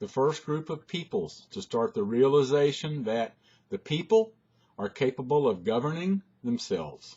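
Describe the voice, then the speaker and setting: This man has a normal speaking voice at a fairly high pitch. He talks at a moderate pace with lively intonation. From United States. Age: 60s. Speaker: commentator. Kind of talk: reading aloud.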